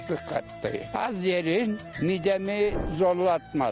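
Clear music in the background behind a man at a very slow pace. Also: dry sound with no echo. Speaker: elderly villager interviewee. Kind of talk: interview answer. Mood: sad recalling late wife. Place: garden. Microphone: handheld.

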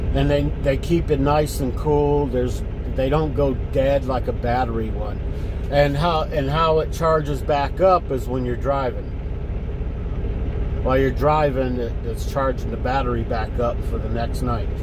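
Against noticeable background noise, a man speaks at a fairly slow pace. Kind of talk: casual vlog chat. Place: car. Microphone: phone near.

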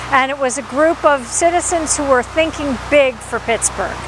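Noticeable background noise sits behind a woman's voice. She speaks high in pitch with fairly even intonation. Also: dry sound with no echo. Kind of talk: interview answer. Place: street. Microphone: lapel.

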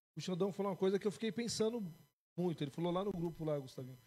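A man's high-pitched voice with a dark, mellow tone and ordinary pitch variation. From Brazil, Ferraz de Vasconcelos (São Paulo area); São Paulo, Brazil. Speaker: podcast co-host. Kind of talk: casual interview. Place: studio. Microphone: studio mic.

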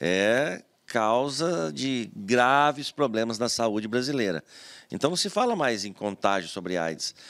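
A man at a fairly slow pace, with very wide pitch swings, over a quiet background. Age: 50s. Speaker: retired federal highway police officer and former city councillor; interview guest. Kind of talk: TV interview. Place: studio. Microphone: studio mic.

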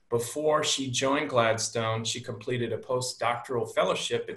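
Speaking at a moderate pace, a man delivers monotone, flat intonation in a bright, sharp tone, with audible room echo. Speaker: webinar host. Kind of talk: host introduction. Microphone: video call.

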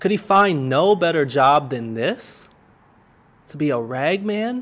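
Speaking at a very slow pace, a man lets his pitch swing very widely. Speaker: pastor. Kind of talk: dramatic story reading. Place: home room. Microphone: studio mic.

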